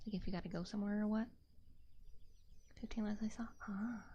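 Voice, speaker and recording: Speaking very fast with an American accent, a woman has a fairly high pitch and a dark, mellow tone that is somewhat breathy, with audible room echo. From Texas. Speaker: VTuber streamer. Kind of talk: casual livestream chat. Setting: livestream on camera. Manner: soft-spoken; halting, repeats words.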